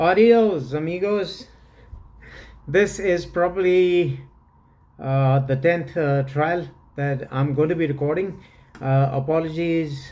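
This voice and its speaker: A man talks very slowly in a fairly high pitch with a dark, mellow tone and ordinary pitch variation. Long, frequent pauses break his speech, and the room echo is audible. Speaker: fragrance reviewer. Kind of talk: product review. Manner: halting, many fillers.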